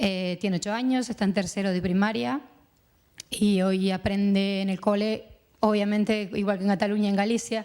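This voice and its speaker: Here a woman speaks with an Uruguayan accent at a moderate pace, with ordinary pitch variation. The recording is very clean, with a silent background. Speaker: mother of a deaf child, panelist. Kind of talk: round-table testimony. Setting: conference panel with audience.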